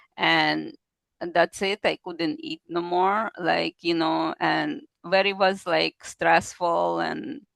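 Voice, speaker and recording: This woman talks very slowly. She has a non-native accent. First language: not English. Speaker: kidney disease patient. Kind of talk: interview testimony. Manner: halting, non-native phrasing.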